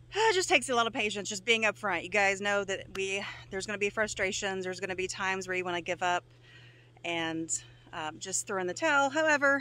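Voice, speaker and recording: With lively intonation and a bright, sharp tone, a woman talks at a very fast pace in a dry sound with no echo. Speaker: homesteader vlogger. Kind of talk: casual vlog chat. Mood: reflective, upbeat. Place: open country. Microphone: phone near.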